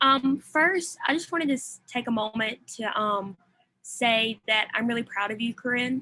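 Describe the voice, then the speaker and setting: A woman's bright, sharp tone with a Southern US accent. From US South. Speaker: college student. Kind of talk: audience question.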